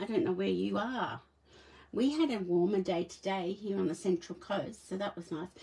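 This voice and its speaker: Speaking with an Australian accent, a woman uses a medium pitch and very wide pitch swings. Her moderate-paced voice is somewhat breathy. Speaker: papercraft demonstrator. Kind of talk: live craft tutorial. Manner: casual, chatty with laughs. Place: home room. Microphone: phone near.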